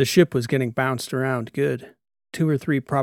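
The text is read aloud in a natural voice, with a quiet background behind it.

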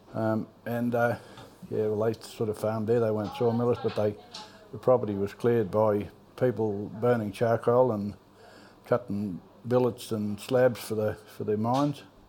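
A man's medium-pitched voice in a rural Australian accent, monotone and flat, at a moderate pace with long, frequent pauses, over noticeable background noise. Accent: broad rural Australian. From Australia, rural Victoria (Trentham). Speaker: local old-timer. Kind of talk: casual reminiscing interview. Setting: pub.

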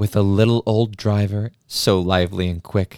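Dark and mellow in tone, the voice comes through a very clean recording, silent background, with a dry, close sound and no echo. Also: man. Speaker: podcast host. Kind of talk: dramatic poem reading, taking turns by stanza.

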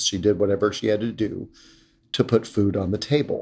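At a moderate pace, a man with a medium pitch uses an ordinary speaking voice in a very clean recording with a silent background. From US South, North Carolina. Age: 50s. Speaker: LGBT rights organization leader. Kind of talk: interview.

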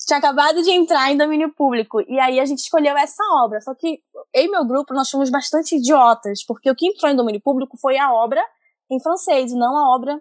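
In a dry, close recording with no echo and a quiet background, a woman talks at a fairly quick pace in a high pitch with ordinary pitch variation. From Amazonas, northern Brazil. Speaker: comics editor and colorist. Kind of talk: casual chat.

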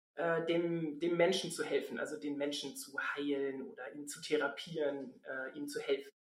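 Audible room echo hangs around this woman's voice. Her pitch rises and falls in an ordinary way. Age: 40s. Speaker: general practitioner. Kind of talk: casual chat.

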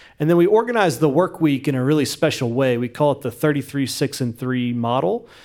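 A man with an American accent and a plain, everyday voice speaks at a fairly high pitch with lively intonation. He talks at a fairly quick pace with hardly any pauses, on a very clean recording with a silent background. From West Virginia. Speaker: nonprofit founder. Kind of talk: interview.

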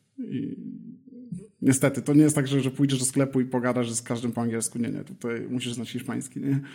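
Talking at a very fast pace, a man with a medium pitch has a dark, mellow tone and fairly even intonation. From Poland, Elbląg. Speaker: startup founder. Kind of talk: interview.

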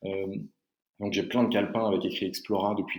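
A man is speaking. His pitch is fairly low. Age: 30s. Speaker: travel company founder. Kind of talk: interview. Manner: halting.

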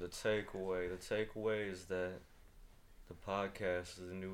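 Fairly low in pitch, a man talks at a moderate pace in an unremarkable speaking voice. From Washington DC. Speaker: podcast guest, friend of host. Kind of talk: casual chat.

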